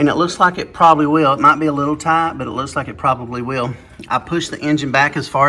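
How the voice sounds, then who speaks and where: Very fast speech in an American accent from a man with a fairly high pitch and ordinary pitch variation. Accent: redneck. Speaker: car restoration YouTuber. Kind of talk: workshop tutorial. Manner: casual, halting with fillers.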